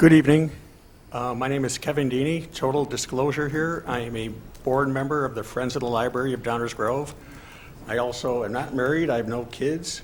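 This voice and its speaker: Fairly quick and with fairly even intonation, a man talks in an unremarkable speaking voice at a medium pitch. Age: 60s. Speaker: public commenter at library board meeting. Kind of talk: public comment.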